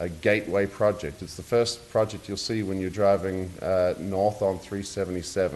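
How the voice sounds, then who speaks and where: With a slight New Zealand accent, a man of very deep, low pitch speaks with fairly even intonation and hardly any pauses. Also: moderate pace. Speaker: real estate developer. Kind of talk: public presentation at a zoning hearing. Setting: city commission meeting. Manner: hesitant, many fillers.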